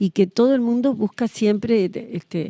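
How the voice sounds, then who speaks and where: A woman speaks at a moderate pace in a dark, mellow tone with ordinary pitch variation. The very clean recording has a silent background and a dry, close sound with no echo. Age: 70s. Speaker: historian. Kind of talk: interview.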